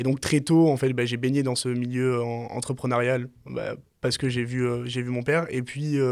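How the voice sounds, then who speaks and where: A man's medium-pitched voice, monotone and flat, at a moderate pace on a very clean recording with a silent background. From France, Marseille. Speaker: startup founder. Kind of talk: podcast interview.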